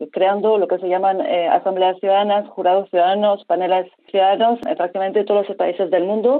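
Talking at a fairly quick pace, a woman has an unremarkable speaking voice with a medium pitch and ordinary pitch variation. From French Basque Country. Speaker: deliberative democracy practitioner. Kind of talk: interview.

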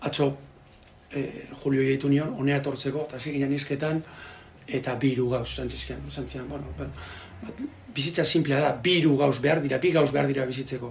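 Against noticeable background noise, a man with a fairly high pitch speaks in a monotone, flat intonation. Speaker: translator and sports broadcaster. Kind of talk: book presentation talk. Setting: bookshop with audience. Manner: halting.

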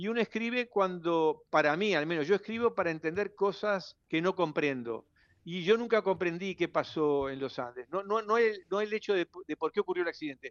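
Speech moves at a moderate pace with ordinary pitch variation. The accent is Uruguayan. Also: man, high pitch for a man. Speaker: writer and journalist. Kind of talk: radio interview. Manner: halting, with many repetitions. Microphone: interference on the line.

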